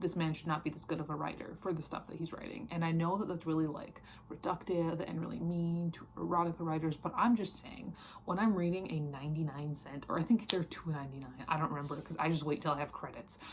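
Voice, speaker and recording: A woman with an American accent, fairly low in pitch, speaking at a very fast pace. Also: ordinary pitch variation, hardly any pauses. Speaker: book reviewer. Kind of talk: casual chat. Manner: animated; halting.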